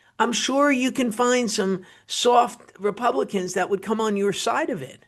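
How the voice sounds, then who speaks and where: Speaking at a fairly slow pace, a woman with a fairly high pitch talks in a New Jersey accent. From New Jersey, US (Wayne). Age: 50s. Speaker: political commentator. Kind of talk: political commentary monologue. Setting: studio. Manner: animated.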